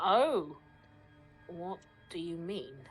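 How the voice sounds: Putting on a character voice, a woman speaks at a very slow pace with lively intonation, her fairly low pitch carrying a slightly husky edge, while faint music plays in the background.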